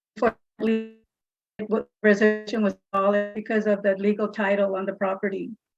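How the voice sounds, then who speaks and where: A woman at a fairly quick pace and medium pitch, monotone and flat, dry and close with no echo, music in the background. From California, Bakersfield. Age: 70s. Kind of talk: public comment at a board meeting. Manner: halting, many hesitations.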